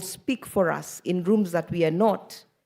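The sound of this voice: A woman's slightly mellow voice at a moderate pace, with ordinary pitch variation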